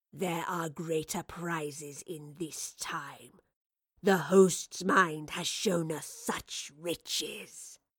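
At a very slow pace, a woman puts on a character voice with a low pitch, a slightly husky edge and fairly even intonation.

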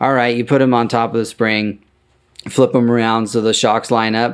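A man's medium-pitched voice at a moderate pace, on a very clean recording with a silent background. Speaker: podcast host and vintage truck parts seller. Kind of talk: casual solo monologue. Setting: office in a barn. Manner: rambling, with many filler words.

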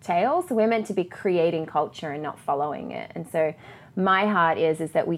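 A woman talks in an ordinary speaking voice at a fairly low pitch and a moderate pace, with ordinary pitch variation. The recording is very clean, with a silent background. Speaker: church leader and speaker.

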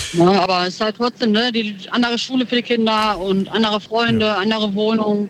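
Speaking at a fairly quick pace with hardly any pauses, a woman keeps a fairly high pitch in a monotone, flat intonation. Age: 30s. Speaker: caller. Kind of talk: radio call-in chat.

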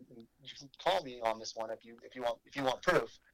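A man uses a normal speaking voice, keeping a moderate speed, medium pitch and ordinary pitch variation. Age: 30s. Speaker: brewery operations director. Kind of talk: casual chat.

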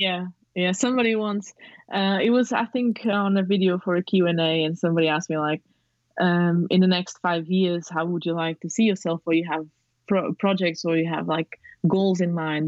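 This woman has a non-native accent and a fairly low voice. She talks at a moderate pace with fairly even intonation. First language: not English. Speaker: photographer and aspiring director. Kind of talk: casual interview. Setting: remote call.

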